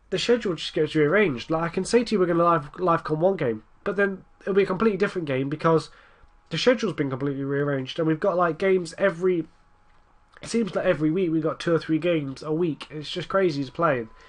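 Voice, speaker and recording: Someone talks at a very fast pace in an English accent. The pitch variation is ordinary. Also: man, high pitch for a man. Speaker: gaming commentator. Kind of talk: gameplay commentary. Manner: casual, rambling.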